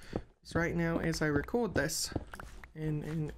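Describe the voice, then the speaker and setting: Against noticeable background noise, a woman with a very deep, low pitch talks at a moderate pace. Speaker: gaming video creator. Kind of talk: let's play commentary.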